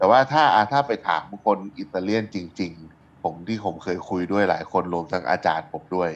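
A man with a very deep, low pitch speaks with ordinary pitch variation. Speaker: chef and podcast co-host. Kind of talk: casual chat.

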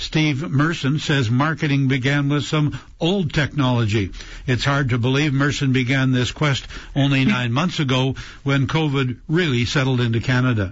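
The man's voice is somewhat breathy and medium in pitch, with very even loudness. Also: ordinary pitch variation, moderate pace. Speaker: radio host. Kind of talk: radio show hosting. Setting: studio.

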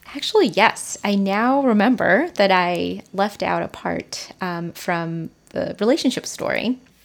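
A woman's ordinary speaking voice at medium pitch, with lively intonation, a fairly slow pace and hardly any pauses. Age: 30s. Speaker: podcast guest with gender studies background. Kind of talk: interview. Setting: recorded at host's kitchen table.

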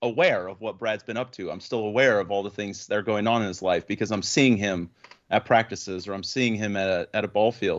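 A man talks in a normal speaking voice. His pitch is fairly low and varies in an ordinary way. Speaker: podcast host. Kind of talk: casual chat.

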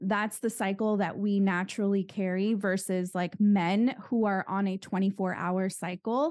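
Speaking with an American accent at a moderate pace, a woman keeps a medium pitch, fairly even intonation, very even loudness and hardly any pauses. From Southern California. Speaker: investment educator and author. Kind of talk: interview.

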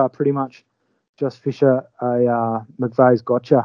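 Dry and close with no echo, a man's dark, mellow voice with an Australian accent runs in monotone, flat intonation. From Western Australia (Albany). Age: 30s. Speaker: fly fishing angler. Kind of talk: casual chat.

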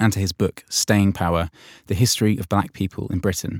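An ordinary speaking voice moves at a fairly quick pace with ordinary pitch variation, in a very clean recording with a silent background and a dry, close sound with no echo. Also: man. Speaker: podcast host. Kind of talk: interview questions and scripted intro.

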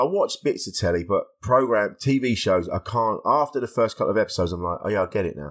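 Over a quiet background, a man with an English accent talks at a very fast pace, medium in pitch, with lively intonation. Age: 50s. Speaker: stand-up comedian and podcaster. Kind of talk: casual chat.

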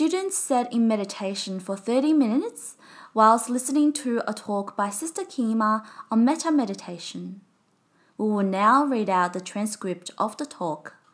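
A woman with an unremarkable speaking voice and lively intonation talks at a fairly high pitch and moderate pace on a very clean recording with a silent background. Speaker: podcast narrator reading retreat report and teachings. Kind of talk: scripted narration and reading aloud.

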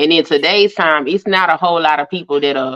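A woman speaks in an ordinary speaking voice at a fairly low pitch. Her pace is moderate and her intonation fairly even. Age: 40s. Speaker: YouTuber and hoodoo practitioner. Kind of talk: casual chat.

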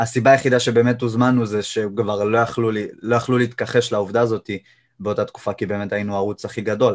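A man speaks at a fairly quick pace in a medium pitch, his intonation monotone and flat, over a quiet background. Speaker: YouTuber and jiu-jitsu practitioner. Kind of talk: casual interview.

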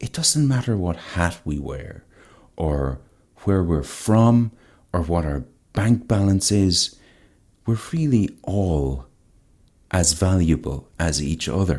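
A man's very deep, low, dark and mellow voice with lively intonation, a very slow pace and long, frequent pauses. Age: 30s. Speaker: guest. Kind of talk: casual interview chat.

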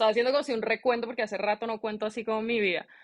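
In a dry, close recording with no echo, a woman talks at a very fast pace. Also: quiet background. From Colombia, Bogotá. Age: 30s. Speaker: chef. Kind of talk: interview.

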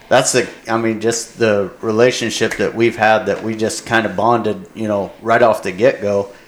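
A man with an American accent speaks in a medium pitch at a fairly slow pace with fairly even intonation. Noticeable background noise sits underneath. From Indiana, US Midwest. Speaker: hunting guide, Navy veteran. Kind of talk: casual chat.

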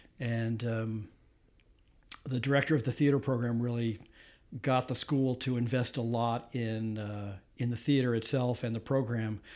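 Intonation stays monotone and flat, with an American accent. Long, frequent pauses break up the speech. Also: man, medium pitch for a man, moderate pace. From US Midwest, suburban Detroit, Michigan. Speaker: photographer and former recording engineer. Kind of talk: casual interview conversation. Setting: recorded at his home.

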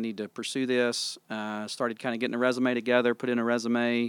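Dry and close with no echo on a very clean recording with a silent background, an unremarkable speaking voice belonging to a man moves at a fairly quick pace with an American accent. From Tennessee, US South. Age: 40s. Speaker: pastor. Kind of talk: casual chat.

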